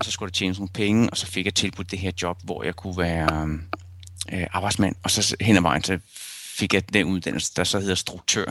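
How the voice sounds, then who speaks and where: With a very deep, low pitch, a man keeps his intonation fairly even and his pace moderate. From Copenhagen area, Denmark (Rødovre). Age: 40s. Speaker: photojournalist. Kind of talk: interview. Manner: hesitant, many fillers.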